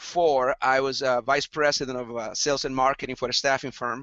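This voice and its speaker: The speaker has a Latin American accent and a moderate pace. The intonation stays fairly even. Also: man. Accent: non-Texan, Latin American. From El Salvador. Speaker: entrepreneur and group leader. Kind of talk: casual interview chat.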